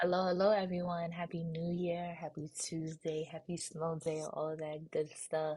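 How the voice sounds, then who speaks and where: A woman with a dark, mellow, somewhat breathy tone speaks in a fairly low, flat monotone at a moderate pace, with hardly any pauses. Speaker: nail school student and beauty vlogger. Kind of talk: casual voiceover chat. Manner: casual, with frequent um fillers.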